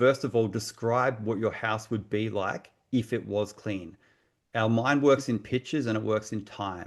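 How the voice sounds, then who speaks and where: Against a quiet background, a man speaks in an Australian accent. His pace is fairly slow and his intonation fairly even. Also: medium pitch for a man. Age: 40s. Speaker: mindset coach. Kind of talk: group coaching session. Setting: video call. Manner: conversational.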